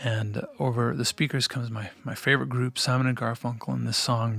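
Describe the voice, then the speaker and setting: Music plays in the background as a man speaks at a fairly quick pace. His medium-pitched voice keeps a fairly even intonation. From US Midwest, Minnesota. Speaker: singer-songwriter. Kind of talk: interview.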